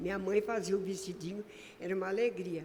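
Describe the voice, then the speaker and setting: Audible room echo and noticeable background noise surround a woman talking at a moderate speed. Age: 80s+. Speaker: lay preacher. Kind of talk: sermon.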